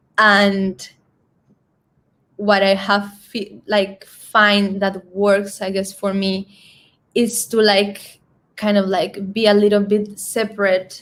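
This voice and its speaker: A woman speaks at a medium pitch with a Spanish accent. Her intonation stays monotone and flat. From Colombia, San Andres island. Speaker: singer. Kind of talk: interview. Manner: halting.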